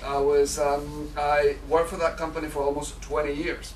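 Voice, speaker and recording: A man with a Mexican accent at a moderate pace, amid noticeable background noise and audible room echo. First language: Spanish. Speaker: public speaker. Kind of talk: speech. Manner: halting, many fillers.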